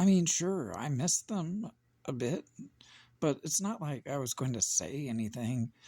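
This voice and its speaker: Speech unfolds at a fairly slow pace. The background is silent on this very clean recording. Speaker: children's book reader, parent. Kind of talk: children's picture book read-aloud.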